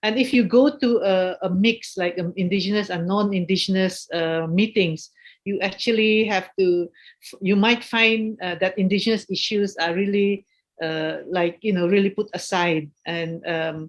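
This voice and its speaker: A woman speaks at medium pitch and a moderate pace. Her pitch variation is ordinary. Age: 50s. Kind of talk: webinar talk. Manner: halting.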